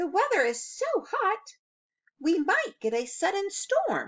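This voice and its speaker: A woman puts on a squeaky character voice, pitched extremely high, with very wide pitch swings and a fairly slow pace. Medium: read story.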